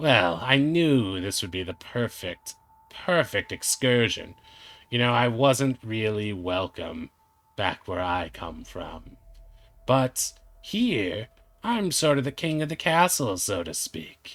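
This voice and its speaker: Using a put-on character voice, a man speaks in a smug tone at a fairly slow pace. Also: medium pitch for a man. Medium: actual play. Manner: smug, mocking.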